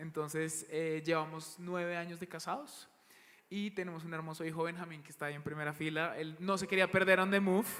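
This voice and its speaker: Over music in the background, a man speaks fairly quickly at a high pitch with monotone, flat intonation and big swings in loudness. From Bogotá, Colombia. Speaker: church worship leader. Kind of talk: panel interview.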